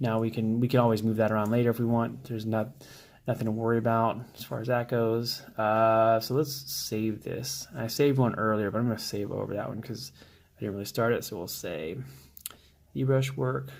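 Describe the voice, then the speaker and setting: A soft-spoken man at medium pitch, with ordinary pitch variation and a moderate pace. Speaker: 3D modeling prop maker. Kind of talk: tutorial. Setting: at home.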